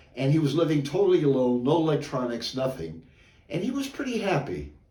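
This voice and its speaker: A man talks at a fairly quick pace with a fairly high pitch. The room echo is audible. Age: 70s. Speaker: amateur joke teller. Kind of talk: casual joke telling; casual introduction. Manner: halting, with many fillers.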